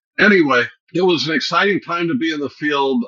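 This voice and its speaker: Lively intonation marks this man's fairly high voice. He speaks at a fairly quick pace. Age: 60s. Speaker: AI researcher, professor. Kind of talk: podcast interview. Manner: halting, many fillers.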